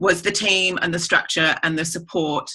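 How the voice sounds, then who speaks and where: The tone is bright and sharp, with an English accent and a moderate pace. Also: woman. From England. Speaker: network marketer. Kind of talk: testimony.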